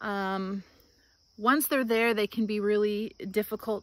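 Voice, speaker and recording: A woman speaks at a fairly slow pace in a dry sound with no echo. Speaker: home gardener vlogger. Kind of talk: casual vlog chat. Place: garden. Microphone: phone near.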